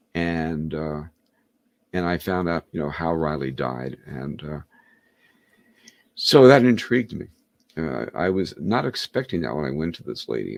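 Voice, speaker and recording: A man speaks in a very deep, low voice with lively intonation at a moderate pace. The sound is dry and close, with no echo. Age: 70s. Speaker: hypnotist and author. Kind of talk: interview. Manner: halting.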